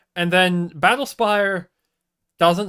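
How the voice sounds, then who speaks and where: This is a man talking. His pitch is high. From Australia. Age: 20s. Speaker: video game streamer. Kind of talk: casual live-stream chat. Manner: animated, rambling with stumbles.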